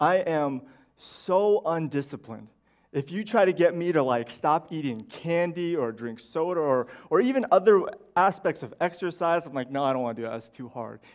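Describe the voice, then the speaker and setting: Pitched fairly high, a man speaks with lively intonation and big swings in loudness. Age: 30s. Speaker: pastor. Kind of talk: sermon. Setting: church. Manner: halting.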